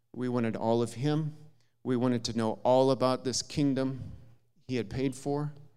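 Speaking in an Upper Midwest accent, a man talks at a moderate pace with a medium pitch and flat, monotone intonation. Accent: Upper Midwest American. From US Midwest, southern Minnesota. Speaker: visiting preacher. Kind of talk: sermon. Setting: church.

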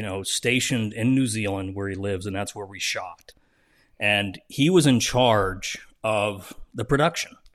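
A man with an American accent has an ordinary speaking voice, fairly low in pitch with ordinary pitch variation. His loudness swings widely against a quiet background. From US Northeast, South Jersey. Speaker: TV writer, director and producer. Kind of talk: interview, casual chat.

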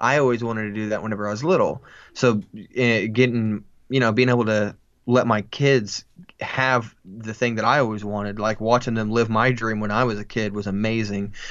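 An ordinary speaking voice, a man at medium pitch, fairly quick pace, and fairly even intonation. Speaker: podcast co-host. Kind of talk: casual chat.

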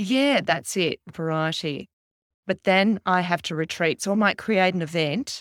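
A woman with an Australian accent speaks at a fairly slow pace and medium pitch. The recording is very clean with a silent background, and the sound is dry and close with no echo. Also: ordinary pitch variation. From Australia, Canberra. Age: 50s. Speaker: fashion stylist and keynote speaker. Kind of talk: casual chat. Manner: animated.

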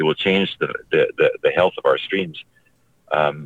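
A man talks at a moderate pace. He speaks with a Canadian accent. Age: 60s. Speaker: naturalist. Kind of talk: radio interview. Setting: phone call from a vehicle.

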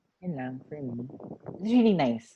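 A woman's voice sits very deep and low, with a dark, mellow tone. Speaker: podcast co-host. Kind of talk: casual chat.

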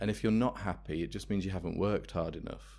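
A man with an English Midlands accent speaks with vocal fry and very wide pitch swings. The recording is very clean, with a silent background. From England, Worcester. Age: 30s. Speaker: life coach. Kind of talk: interview.

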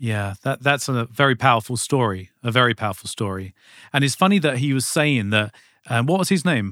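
A man speaks with a bright, sharp tone and lively intonation. The recording is very clean, with a silent background. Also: medium pitch for a man, fairly quick pace. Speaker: podcast host. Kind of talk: casual interview chat.

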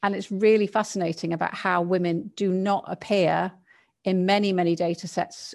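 A woman's medium-pitched voice in an English accent, with fairly even intonation and a quiet background. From England. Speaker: learning and neuroscience consultant. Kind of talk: casual chat.

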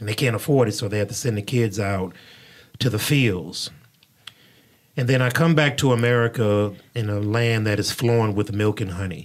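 A man talks at a moderate pace with ordinary pitch variation and a fairly low pitch. He has an unremarkable speaking voice. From Houston, Texas (Third Ward). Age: 40s. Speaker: pastor and podcast host. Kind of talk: casual interview chat. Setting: studio.

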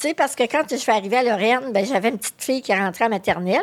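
A woman speaks in a Quebec accent. Her pitch varies in an ordinary way. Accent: Québécois French. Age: 60s. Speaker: magazine editor and association executive. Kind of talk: interview. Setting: studio.

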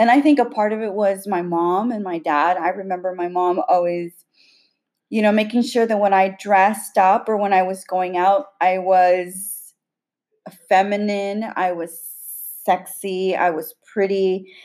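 A woman with an ordinary speaking voice talks at a fairly slow pace in a medium pitch, her intonation fairly even. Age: 40s. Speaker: podcast host. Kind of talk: casual chat.

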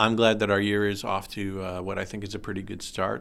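With a normal speaking voice, a man talks at a fairly quick pace, his pitch fairly low and his intonation fairly even. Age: 50s. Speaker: high school teacher and podcast host. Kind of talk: casual interview.

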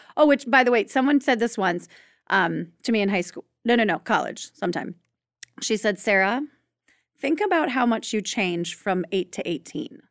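In a dry, close sound with no echo and a very clean recording with a silent background, a woman with an unremarkable speaking voice uses lively intonation, fairly high pitch and a moderate pace. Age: 40s. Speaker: podcast host and birth doula. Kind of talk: casual chat.

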